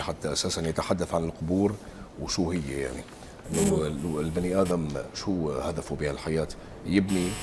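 A man's very deep, low voice, with ordinary pitch variation, comes through noticeable background noise. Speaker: voice-over artist and trainer. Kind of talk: TV morning show interview answer. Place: studio. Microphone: lapel.

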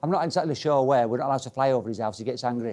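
In a Yorkshire accent, a man speaks at a very fast pace. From Leeds, Yorkshire. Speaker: motivational speaker. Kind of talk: keynote talk. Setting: stage with audience. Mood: humorous storytelling. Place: meeting room.

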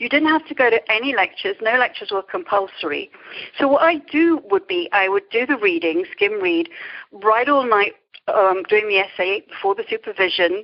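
A woman at medium pitch talks at a moderate pace with few pauses and lively intonation.

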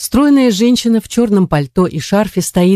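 A woman talks in a calm tone at a fairly slow pace, her voice dark and mellow with lively intonation. The sound is dry and close, with no echo. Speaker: audiobook narrator. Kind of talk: literary audiobook reading, narrating a historical novel. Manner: measured, even storytelling pace with a calm, vivid delivery.

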